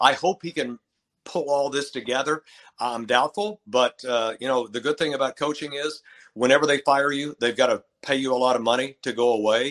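A man speaks at a fairly quick pace in a West Texas accent, his pitch medium with ordinary variation. The background is quiet, and the sound is dry and close with no echo. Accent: West Texas American. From Texas, Lubbock. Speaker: retired basketball play-by-play announcer, teacher. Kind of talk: casual interview chat.

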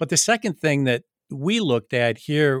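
Recorded very cleanly against a silent background, a man with an Upper Midwest accent sounds dry and close with no echo. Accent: Upper Midwest American. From Michigan, East Lansing. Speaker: college president. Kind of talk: interview. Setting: call.

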